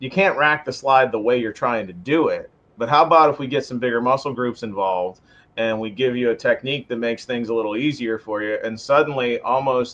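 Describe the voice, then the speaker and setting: The speaker is a man with an American accent and an unremarkable speaking voice. He talks at a fairly quick pace. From western Pennsylvania. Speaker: firearms instructor. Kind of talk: podcast interview.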